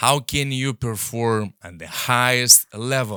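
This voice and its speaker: Speaking at a very slow pace with a non-native accent, a man with medium pitch and a bright, sharp tone is heard on a very clean recording with a silent background. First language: not English. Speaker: podcast host and coach. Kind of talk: motivational podcast monologue. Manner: repetitive, hesitant restarts.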